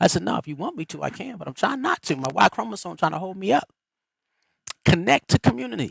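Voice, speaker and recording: In a dry, close recording with no echo, a man with a fairly high pitch talks at a very fast pace in an animated tone, with vocal fry, very wide pitch swings and big swings in loudness. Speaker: livestream host and spiritual speaker. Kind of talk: motivational talk. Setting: live stream.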